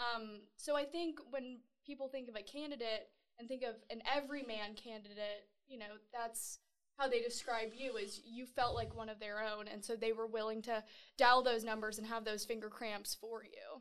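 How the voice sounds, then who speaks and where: Fairly high-pitched female speech in an ordinary speaking voice, fairly even in intonation, at a moderate pace. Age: 20s. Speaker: TV news reporter. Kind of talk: interview.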